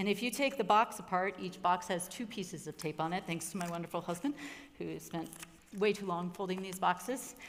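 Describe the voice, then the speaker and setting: Her intonation is lively as the woman talks. Behind her, background noise is noticeable. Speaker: pastor. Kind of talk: workshop presentation. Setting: workshop room with audience. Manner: animated.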